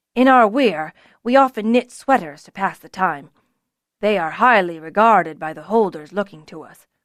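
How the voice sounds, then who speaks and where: A woman uses a put-on character voice at a medium pitch. The recording is very clean, with a silent background. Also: moderate pace. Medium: read story. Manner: calm, slow and deliberate.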